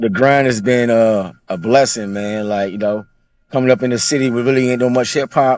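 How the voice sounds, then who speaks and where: Speaking at a fairly quick pace, a man has a medium pitch with ordinary pitch variation. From Virginia, Charlottesville. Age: 30s. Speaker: rapper. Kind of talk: casual interview.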